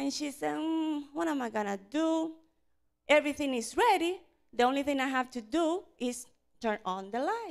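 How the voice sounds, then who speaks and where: The background is quiet as a woman talks. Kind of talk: storytelling to children. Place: church. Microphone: handheld.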